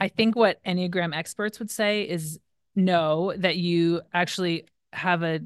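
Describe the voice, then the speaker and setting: Against a quiet background, a woman with a normal speaking voice talks at a fairly slow pace and a fairly low pitch, with ordinary pitch variation. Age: 40s. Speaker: pastor and life coach. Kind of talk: interview conversation.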